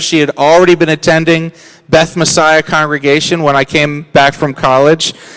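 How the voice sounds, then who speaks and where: A man with an American accent speaks in a normal speaking voice at a fairly high pitch. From US. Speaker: ministry leader. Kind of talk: testimony. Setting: church service.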